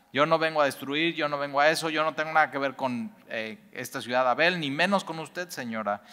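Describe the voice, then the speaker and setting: Speaking with a Mexican accent, a man with a fairly high pitch and a bright, sharp tone talks at a fairly quick pace, with hardly any pauses and ordinary pitch variation. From Mexico. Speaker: Bible teacher. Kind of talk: Bible study teaching. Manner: conversational, many fillers. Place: church.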